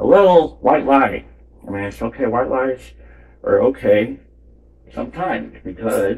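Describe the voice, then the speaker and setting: Long pauses come often as this man talks at a fairly slow pace. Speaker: painting channel host. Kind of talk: casual painting tutorial. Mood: joking, playful. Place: home room. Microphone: phone near.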